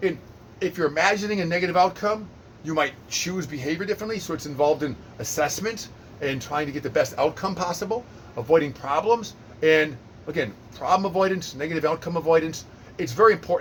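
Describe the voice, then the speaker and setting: Talking at a very fast pace, this man has a high-pitched voice, an animated tone and ordinary pitch variation. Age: 50s. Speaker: personal trainer. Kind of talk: lecture.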